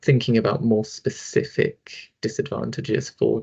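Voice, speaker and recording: Vocal fry runs through a man's voice, which has ordinary pitch variation. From London, England. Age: 20s. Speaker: social worker. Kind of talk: online talk / presentation. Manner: casual, hesitant, many fillers.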